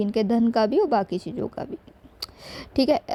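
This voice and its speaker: Using ordinary pitch variation, a woman speaks at a fairly high pitch with a dark, mellow tone. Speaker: astrologer. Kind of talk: astrology consultation reading. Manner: casual conversational with fillers.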